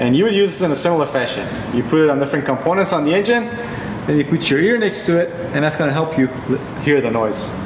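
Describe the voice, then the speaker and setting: Very fast speech from a man, noticeable background noise behind it. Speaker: presenter. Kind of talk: tutorial. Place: garage.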